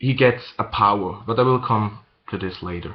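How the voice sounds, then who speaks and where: A man with a non-native accent speaks at a very slow pace with lively intonation. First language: not English. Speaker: manga reviewer. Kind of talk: casual video review. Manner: halting, many fillers and repeats.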